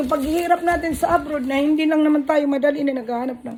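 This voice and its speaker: Delivered at a very fast pace with ordinary pitch variation, the voice sits over noticeable background noise. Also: woman. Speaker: vlogger and small shop owner. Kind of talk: casual chat.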